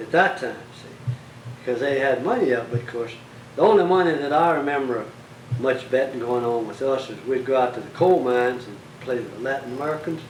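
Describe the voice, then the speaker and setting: Speaking with a Central Texas accent, a man goes at a fairly quick pace with ordinary pitch variation and big swings in loudness. Noticeable background noise runs underneath. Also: medium pitch for a man. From Bastrop County, Texas. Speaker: local historian, former tax collector. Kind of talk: interview answer.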